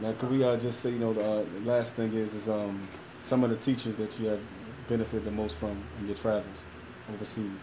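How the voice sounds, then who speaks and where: The speaker has a Philadelphia accent and a monotone, flat intonation, talking at a fairly quick pace. Long, frequent pauses break up the speech over noticeable background noise. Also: man, fairly low pitch for a man. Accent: Philadelphia American English. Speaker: podcast co-host. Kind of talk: interview. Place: classroom. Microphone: phone near.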